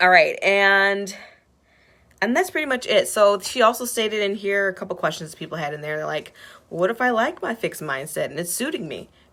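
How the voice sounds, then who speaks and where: At a fairly quick pace, a woman talks with lively intonation and a bright, sharp tone at medium pitch, in a very clean recording with a silent background. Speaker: self-help video host. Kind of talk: live video talk about a book. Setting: live video. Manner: fast, sometimes mumbling.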